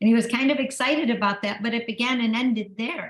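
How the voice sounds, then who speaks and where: A woman's voice is animated in tone and fairly high in pitch. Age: 60s. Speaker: author and motivational speaker. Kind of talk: motivational talk.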